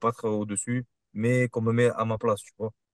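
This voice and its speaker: The sound is dry and close with no echo, the background is quiet, and the intonation stays monotone and flat. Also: man. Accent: Marseille. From Marseille, southern France. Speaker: kickboxer. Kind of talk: interview.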